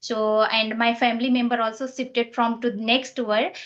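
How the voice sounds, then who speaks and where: A fairly high-pitched woman at a moderate pace. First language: Nepali. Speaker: English learner. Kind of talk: casual chat. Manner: halting.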